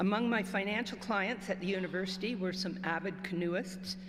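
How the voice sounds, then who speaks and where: Somewhat breathy and medium in pitch, a woman with a Canadian accent speaks at a moderate pace amid audible room echo. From Northern Ontario. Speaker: retired club member. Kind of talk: reading aloud.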